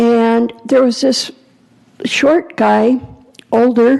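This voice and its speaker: A woman with a fairly high voice speaks very slowly with ordinary pitch variation over noticeable background noise. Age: 70s. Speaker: public commenter at city council. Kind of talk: public comment speech.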